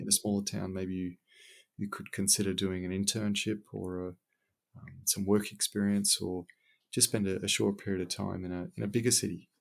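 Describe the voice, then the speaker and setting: A man with an Australian accent talks at a fairly quick pace. His pitch is fairly low, and his intonation is monotone and flat. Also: very clean recording, silent background. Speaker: civil engineer. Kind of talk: podcast interview answer.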